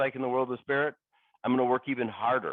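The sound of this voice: At a fast pace, a man speaks in a medium pitch with fairly even intonation.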